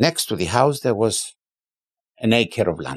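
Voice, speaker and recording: A man's voice with vocal fry. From Limassol, Cyprus. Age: 70s. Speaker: businessman and car museum founder. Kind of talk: casual interview, storytelling.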